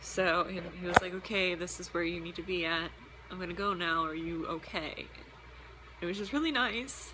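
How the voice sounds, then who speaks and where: Ordinary pitch variation and long, frequent pauses amid noticeable background noise and audible room echo. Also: woman, fairly low pitch for a woman. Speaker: vlogger and roller derby player. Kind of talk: casual vlog chat. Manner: fast.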